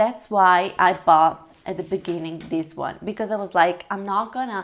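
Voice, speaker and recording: A woman with an Italian accent, medium in pitch, fairly slow and fairly even in intonation, on a very clean recording with a silent background. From Italy. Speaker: language learning vlogger. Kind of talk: casual vlog talk. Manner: hesitant, many fillers.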